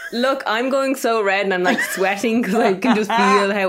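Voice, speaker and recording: Over noticeable background noise, a woman with an Irish accent speaks at medium pitch and a moderate pace with ordinary pitch variation. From Ireland. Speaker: podcast co-host.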